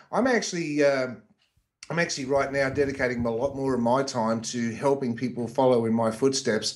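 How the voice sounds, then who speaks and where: Speaking with an Australian accent, a man with a medium pitch moves at a fairly quick pace with fairly even intonation. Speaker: internet marketer. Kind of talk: interview.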